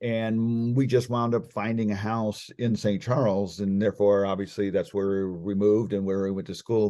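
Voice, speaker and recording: Against a quiet background, a man with a fairly low pitch and a dark, mellow tone talks at a fairly quick pace with fairly even intonation. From Texas, Austin. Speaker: former NFL quarterback. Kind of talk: interview.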